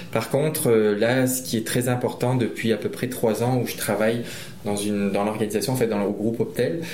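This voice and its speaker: A man at medium pitch talks at a moderate pace with fairly even intonation, with audible room echo and noticeable background noise. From Réunion. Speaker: trail runner. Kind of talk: interview. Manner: halting, with repeated words.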